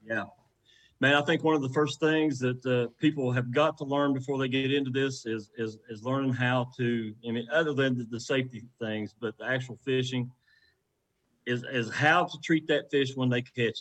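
A man with an Appalachian accent speaks at a moderate pace, his medium-pitched voice keeping a fairly even intonation. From West Virginia. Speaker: professional kayak angler. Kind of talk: casual chat.

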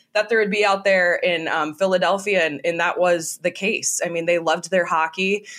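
A woman with a Minnesota accent at medium pitch and moderate pace, with hardly any pauses, very even loudness and fairly even intonation. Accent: Minnesotan American. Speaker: sports broadcaster. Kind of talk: interview.

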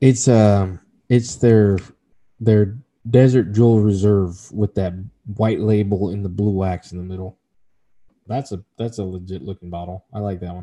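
Against a quiet background, a man with an American accent speaks at a moderate pace in a fairly low pitch and a dark, mellow tone, with fairly even intonation, big swings in loudness and long, frequent pauses, in a dry, close sound with no echo. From Texas. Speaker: whiskey podcast co-host. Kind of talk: casual chat.

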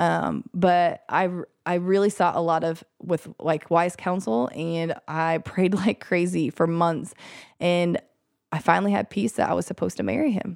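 In a plain, everyday voice, a woman speaks at a fairly low pitch and fairly slow pace with ordinary pitch variation, on a very clean recording with a silent background and a dry, close sound with no echo. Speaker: physician assistant and mother. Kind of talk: personal testimony interview. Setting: studio, nursing baby while recording.

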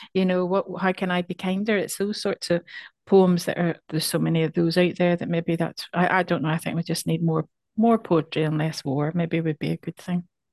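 In a Northern Irish accent, a woman speaks at a fairly quick pace with a fairly low pitch and monotone, flat intonation. The sound is dry and close with no echo. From Northern Ireland. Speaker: poet. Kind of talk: casual interview. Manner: halting, repeats words.

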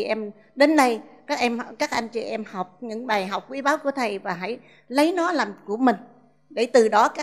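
Her voice fairly high, a woman talks with ordinary pitch variation. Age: 60s. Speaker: school principal. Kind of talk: testimony. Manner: halting.

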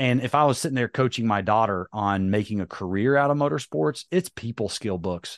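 Recorded with a dry, close sound with no echo and a quiet background, a man speaks with ordinary pitch variation. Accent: slight Southern US. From North Carolina. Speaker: monster truck driver and motivational speaker. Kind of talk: casual interview.

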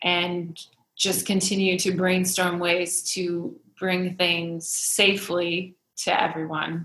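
A woman with an American accent and a bright, sharp tone talks at a very slow pace, using monotone, flat intonation and very even loudness. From Iowa. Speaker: shop owner, entrepreneur. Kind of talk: interview conversation.

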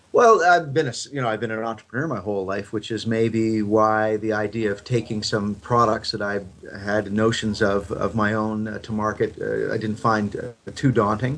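A man speaks in a normal speaking voice, fairly low in pitch and fairly even in intonation. He keeps a moderate pace with hardly any pauses. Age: 50s. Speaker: fitness equipment entrepreneur and former rugby player. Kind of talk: interview.

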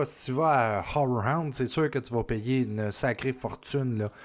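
A man's medium-pitched voice with a Quebec accent at a fairly slow pace. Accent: Québécois French. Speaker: podcast host. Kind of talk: casual chat.

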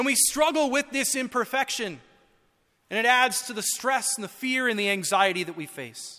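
Raised and projected, a man's bright, sharp voice sits at an extremely high pitch, with ordinary pitch variation and a moderate pace. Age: 30s. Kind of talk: sermon.

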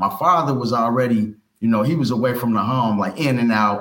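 A man speaks at medium pitch and a moderate pace, with ordinary pitch variation. He has an unremarkable speaking voice. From US Midwest, Cincinnati, Ohio. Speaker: ex-offender turned entrepreneur and youth mentor. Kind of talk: interview, life story.

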